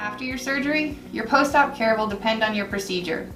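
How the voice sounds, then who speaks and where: Over music in the background and with audible room echo, a woman with an American accent talks at a fairly quick pace, her fairly high pitch varying an ordinary amount. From Florida. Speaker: surgeon. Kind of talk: scripted narration. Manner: formal.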